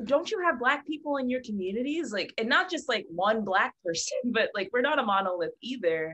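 With an American accent and a bright, sharp tone, this speaker swings very widely in pitch and talks at a fairly quick pace with hardly any pauses. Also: woman, high pitch for a woman. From Philadelphia, US. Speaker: multi-disciplinary artist; guest. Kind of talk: casual chat. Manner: halting. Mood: earnest, animated. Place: home room. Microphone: video call.

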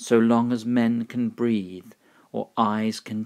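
A man with a British accent at a medium pitch and a very slow pace, in a very clean recording with a silent background. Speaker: English pronunciation teacher. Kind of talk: poetry reading.

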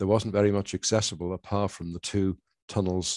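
Against a quiet background, a man speaks in a dark, mellow tone with monotone, flat intonation, the sound dry with no echo. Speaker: presenter. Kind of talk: lecture.

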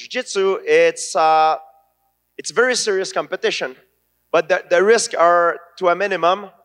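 A man at a fairly slow pace, bright and sharp in tone, with ordinary pitch variation and a quiet background. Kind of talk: interview answer. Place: stage. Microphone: handheld.

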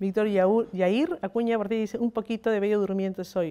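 A woman speaks with a dark, mellow tone. Her pace is fairly quick and her intonation fairly even. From Peru. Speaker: news agency journalist. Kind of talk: interview. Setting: live stream. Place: home room. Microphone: handheld.

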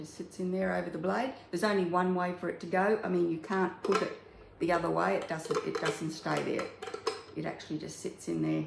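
Noticeable background noise runs behind the speaker. A woman talks at a fairly quick pace. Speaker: home cooking demonstrator. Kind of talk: tutorial. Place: kitchen. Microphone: phone near.

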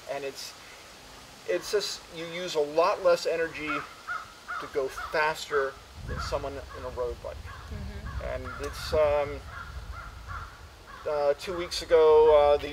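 A man at a fairly slow pace, long, frequent pauses, big swings in loudness, and noticeable background noise. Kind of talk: interview answer. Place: street.

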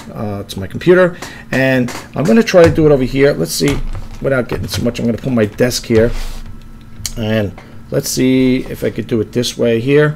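A man at a moderate pace with lively intonation and long, frequent pauses, over light background noise. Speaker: reseller demonstrating an app. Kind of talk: tutorial. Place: home room. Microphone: webcam.

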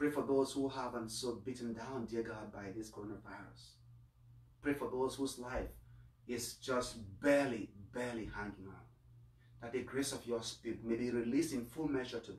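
The voice is somewhat breathy, moving at a moderate pace with long, frequent pauses. Intonation stays fairly even, and audible room echo surrounds it. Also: man. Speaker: priest. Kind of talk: Mass homily and prayers of the faithful. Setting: online livestream of Mass. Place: home room. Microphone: camera far.

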